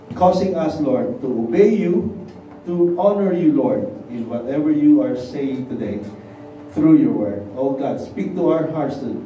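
A man's voice swings very widely in pitch. Light background noise and audible room echo come through. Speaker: preacher. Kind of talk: sermon. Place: church.

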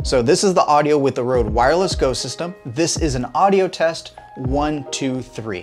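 Over faint music in the background, a man talks at a fairly quick pace. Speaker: gear reviewer. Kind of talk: casual review talk to camera. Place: home room. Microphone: lapel.

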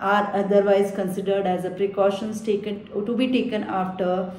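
The voice belongs to a woman. Room echo is audible. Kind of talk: educational explanation to camera. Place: office. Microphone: phone near.

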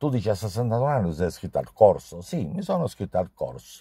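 A dark, mellow tone with vocal fry comes at a moderate pace. The sound is dry with no echo against a quiet background. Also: man. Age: 60s. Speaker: pastry chef. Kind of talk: testimonial. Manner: halting. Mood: warm, appreciative. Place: car. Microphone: phone near.

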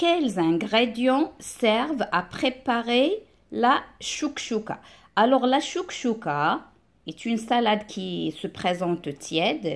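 Set against a quiet background, a woman's voice shows vocal fry and very wide pitch swings. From Morocco. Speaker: primary school teacher; teacher. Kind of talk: lesson. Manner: slow. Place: home room. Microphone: phone near.

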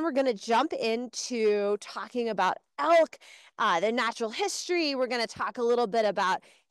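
Against a quiet background, a woman speaks at a moderate pace with very wide pitch swings, in a dry sound with no echo. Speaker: education program host. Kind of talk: live virtual class hosting. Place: open country.

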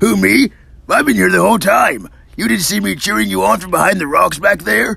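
A put-on character voice from a man, high-pitched and at a fairly quick pace. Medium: dub. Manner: casual, sheepish.

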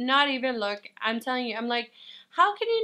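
A woman's raised, projected voice with a bright, sharp tone against a quiet background. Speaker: vlogger. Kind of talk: casual vlog chat. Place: home room. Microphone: camera far.

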